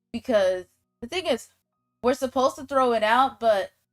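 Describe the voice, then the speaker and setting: Music sits in the background as a woman with a high pitch speaks at a fairly quick pace, the sound dry and close with no echo. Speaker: livestreaming artist. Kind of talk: casual storytelling on livestream. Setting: livestream. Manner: casual.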